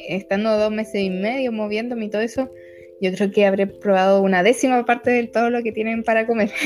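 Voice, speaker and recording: With music playing in the background, a woman speaks at a fairly quick pace in a fairly high voice with fairly even intonation. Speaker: nutritionist and digital nomad traveller. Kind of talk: casual interview.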